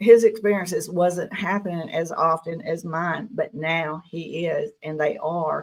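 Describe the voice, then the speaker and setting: A woman with an American accent and a normal speaking voice talks at a fairly slow pace with hardly any pauses. Her pitch is fairly low, her intonation fairly even, and the recording very clean with a silent background. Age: 60s. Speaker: podcast guest, UFO experiencer. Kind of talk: interview testimony.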